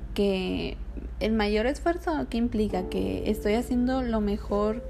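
A woman talks at a very slow pace amid noticeable background noise and audible room echo. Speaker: podcast host. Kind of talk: casual solo monologue.

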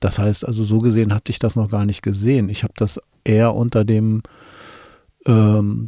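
A man speaks at a fairly slow pace in a fairly low pitch with a dark, mellow tone. The recording is very clean, with a silent background, and the sound is dry and close with no echo. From Wolfsburg, Lower Saxony, Germany. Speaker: communication expert and podcast co-host. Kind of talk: casual chat.

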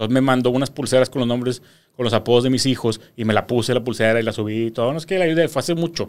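Speaking at a very fast pace in a Mexican accent, a man shows ordinary pitch variation on a very clean recording with a silent background. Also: medium pitch for a man. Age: 30s. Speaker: social media entertainer. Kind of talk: casual interview chat. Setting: studio.

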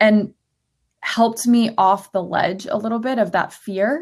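In a very clean recording with a silent background, a woman uses a normal speaking voice at medium pitch, a moderate pace and ordinary pitch variation. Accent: American. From Florida. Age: 30s. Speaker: lifestyle blogger. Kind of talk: casual chat.

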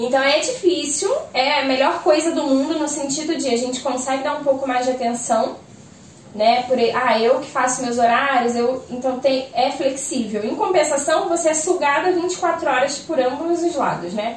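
With a Rio de Janeiro accent, a woman speaks at a moderate pace in a high-pitched, animated tone, amid noticeable background noise and audible room echo. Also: ordinary pitch variation. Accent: Rio (carioca), S sounds like X. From Rio de Janeiro, Brazil. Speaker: small business owner, sweets and kits seller. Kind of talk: casual chat.

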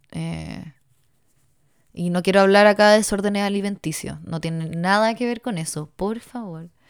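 Recorded very cleanly against a silent background, a woman with a Chilean accent speaks at a medium pitch and moderate pace, her intonation fairly even but her loudness swinging widely. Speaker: podcaster. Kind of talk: solo monologue. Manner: rambling, halting.

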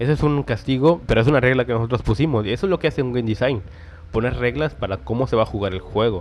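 At a very fast pace, a man speaks with vocal fry. His medium pitch shows ordinary variation. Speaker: podcast host, game developer. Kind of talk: casual tutorial monologue. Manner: animated.

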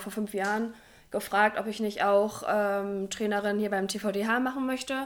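Her fairly high voice moves along at a moderate pace. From northern Germany, Oldenburg. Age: 20s. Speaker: physiotherapist and youth handball coach. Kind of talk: casual interview.

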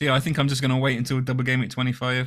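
Speaking in an English accent, a man rushes along at a very fast pace. His medium-pitched voice stays monotone and flat. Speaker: podcast co-host. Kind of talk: casual chat. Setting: video call.

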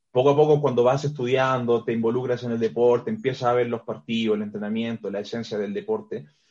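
Speaking very fast with hardly any pauses, a man uses a medium pitch and ordinary pitch variation. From Chile. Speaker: strength and conditioning coach. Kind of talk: interview.

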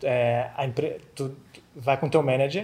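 The man's voice shows ordinary pitch variation. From Florianópolis, southern Brazil. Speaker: accountant. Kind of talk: casual interview chat.

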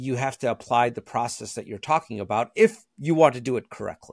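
The pace is fairly quick as a man talks. Behind him the background is silent, the recording very clean. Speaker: podcast host. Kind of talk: casual interview.

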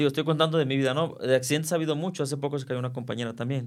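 On a very clean recording with a silent background, a man talks in a normal speaking voice, fairly high in pitch, with fairly even intonation. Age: 40s. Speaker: circus performer. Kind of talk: interview.

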